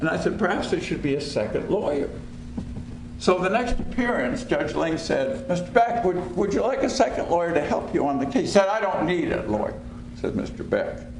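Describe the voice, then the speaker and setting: A man's high voice at a moderate pace, with very wide pitch swings, audible room echo and noticeable background noise. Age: 70s. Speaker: lawyer and former federal prosecutor. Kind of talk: panel talk.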